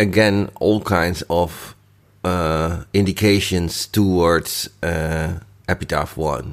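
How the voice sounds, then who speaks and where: On a very clean recording with a silent background, a man with a Dutch accent speaks at a very slow pace in a very deep, low voice. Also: fairly even intonation. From Netherlands. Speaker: listener contributor. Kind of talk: recorded listener feedback. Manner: halting.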